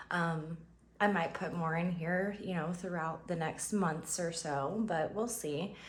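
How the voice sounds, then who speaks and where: A woman speaks in a somewhat breathy voice. Room echo can be heard. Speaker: budgeting vlogger. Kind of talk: casual vlog tutorial. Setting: home, early morning. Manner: upbeat, cheerful; hesitant, many fillers.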